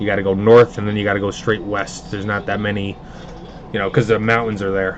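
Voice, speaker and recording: Here a man with a New York accent talks at a very fast pace and a fairly low pitch. His intonation is monotone and flat, with noticeable background noise. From Hudson Valley, upstate New York (Pleasant Valley near Poughkeepsie). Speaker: card box breaker, livestream host. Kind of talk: casual livestream chat. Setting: live stream broadcast.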